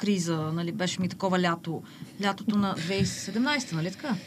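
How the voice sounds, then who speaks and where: The woman's voice is somewhat breathy. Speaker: social media poet. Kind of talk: casual interview.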